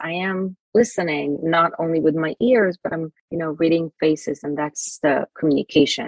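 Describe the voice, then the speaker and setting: A woman speaks with an Israeli accent. Her pace is fairly quick. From Israel, Jerusalem. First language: Hebrew. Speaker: self esteem mentor and author. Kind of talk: interview. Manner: halting.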